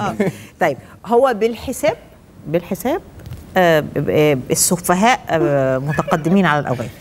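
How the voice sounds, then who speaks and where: With an Egyptian accent, a woman talks at a fairly slow pace in a fairly low pitch, her loudness very even while her pitch swings very widely. Long pauses come often, and there is light background noise. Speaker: TV talk show host. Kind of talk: hosting a game on a TV show. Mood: playful, animated. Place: studio. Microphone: lapel.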